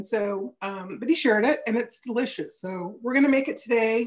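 A woman's voice, moderate in pace, ordinary in pitch variation, over a quiet background. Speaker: home cook host. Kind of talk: casual cooking show chat. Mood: cheerful. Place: kitchen. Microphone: video call.

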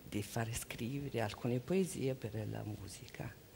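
A woman with a Mongolian accent speaks in a very deep, low voice with vocal fry over light background noise. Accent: Mongolian-accented Italian. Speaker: interpreter. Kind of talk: consecutive interpreting. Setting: stage with audience. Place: stage. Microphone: headset.

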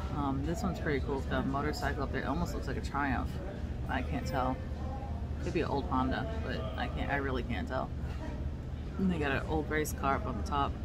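Clear music can be heard behind the voice. A female speaker keeps a fairly quick pace. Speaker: road trip vlogger. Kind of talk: casual vlog chat. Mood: relaxed, chatty. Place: cafe. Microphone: phone near.

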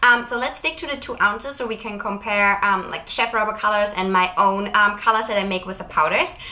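A woman's voice with ordinary pitch variation at a fairly quick pace. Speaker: chocolate maker vlogger. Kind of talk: casual vlog chat. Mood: cheerful, friendly. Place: home room. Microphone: lapel.

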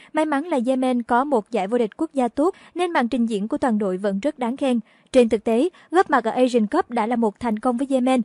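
Speaking at a fairly quick pace, a woman with a high pitch and a dark, mellow tone uses ordinary pitch variation, in a dry, close sound with no echo. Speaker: news reader. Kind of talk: news reading. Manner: formal.

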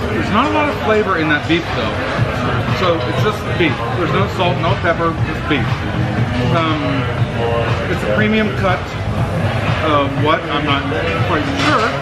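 A man speaks at a moderate pace with long, frequent pauses over loud music in the background. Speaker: flight attendant vlogger. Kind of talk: casual vlog chat. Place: cafe. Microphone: phone near.

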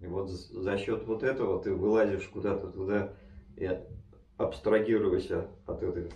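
Audible room echo surrounds the voice. The delivery is very slow. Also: man. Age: 60s. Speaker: mountaineer. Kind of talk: interview answer. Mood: relaxed, animated storytelling. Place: home room.

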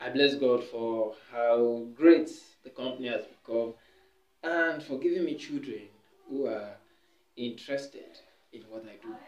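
Room echo is audible as a man talks at a fairly slow pace with long, frequent pauses. His pitch varies in an ordinary way, while his loudness swings widely. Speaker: preacher giving testimony. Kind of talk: sermon-like exhortation. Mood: earnest, calm. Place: home room. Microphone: camera far.

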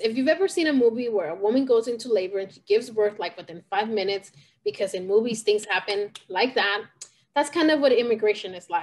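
Lively intonation marks this woman's speech. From California, US (born in Puebla, Mexico); California. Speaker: fire survivor and community advocate. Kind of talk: interview testimony. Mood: reflective, personal. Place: home room. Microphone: video call.

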